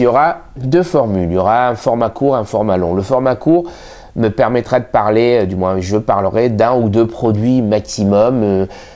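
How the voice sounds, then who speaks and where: A man talks at a moderate pace. His pitch sits in the middle range, with ordinary variation. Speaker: magician and magic shop owner. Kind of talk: channel introduction to camera. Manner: hesitant, many fillers.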